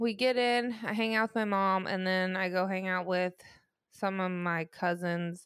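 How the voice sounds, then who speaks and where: In a very clean recording with a silent background, a woman with an unremarkable speaking voice speaks at a fairly slow pace and medium pitch with fairly even intonation. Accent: American. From US Midwest, southern Illinois. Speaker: podcast co-host. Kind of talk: casual chat.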